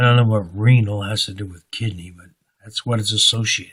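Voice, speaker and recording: The man's voice carries a somewhat breathy quality. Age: 70s. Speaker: religious vlogger. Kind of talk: personal monologue. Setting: recording alone at home late at night. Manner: halting.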